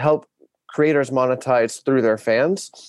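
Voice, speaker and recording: A man with an American accent speaks at a moderate pace in a plain, everyday voice, his medium pitch captured in a dry, close sound with no echo against a quiet background. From Arkansas, US South. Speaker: startup community lead and aspiring actor. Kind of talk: interview.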